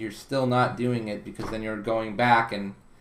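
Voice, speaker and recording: Audible room echo fills the space. A man talks at a medium pitch within it. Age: 20s. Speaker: personality typing consultant. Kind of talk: casual interview conversation. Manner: halting with repeated words.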